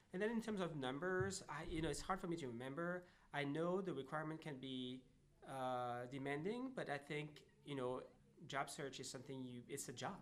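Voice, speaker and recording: Audible room echo surrounds a voice with a French accent. The pace is moderate and the pitch variation ordinary. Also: man, fairly high pitch for a man. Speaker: job seeker who found work. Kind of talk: interview conversation. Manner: halting, many fillers.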